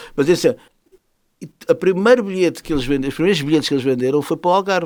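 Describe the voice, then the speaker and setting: A man speaks very fast in a high voice, his tone animated and his intonation lively. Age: 60s. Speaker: musician and jazz festival organizer. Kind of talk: interview.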